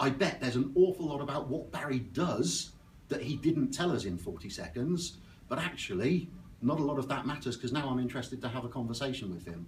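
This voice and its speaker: A man's medium-pitched voice with an Oxfordshire accent and lively intonation, at a fairly quick pace amid audible room echo. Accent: West Oxfordshire. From West Oxfordshire, southern England. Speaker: business networking speaker. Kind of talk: presentation talk. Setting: stage with audience at networking breakfast.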